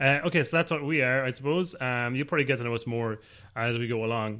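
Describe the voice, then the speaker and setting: On a very clean recording with a silent background, a man speaks in an Irish accent at a medium pitch. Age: 30s. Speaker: podcast host, new father. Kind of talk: casual chat. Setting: home kitchen.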